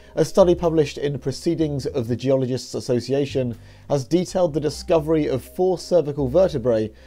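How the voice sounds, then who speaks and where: The man's tone is dark and mellow. He talks at a fairly quick pace with lively intonation. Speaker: news presenter. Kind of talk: news narration.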